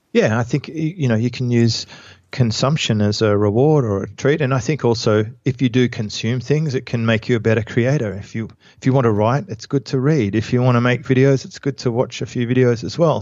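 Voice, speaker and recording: A man with an Australian accent, medium pitch, ordinary pitch variation and a fairly quick pace. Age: 40s. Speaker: entrepreneur and author. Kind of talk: interview.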